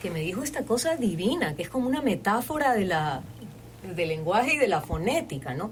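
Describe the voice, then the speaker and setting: A woman of medium pitch talks at a fairly quick pace, her pitch swinging very widely. Audible room echo and noticeable background noise fill the recording. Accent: Guayaquil. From Ecuador, Guayaquil. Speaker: voice-over artist and creative director. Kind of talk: casual chat. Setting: studio.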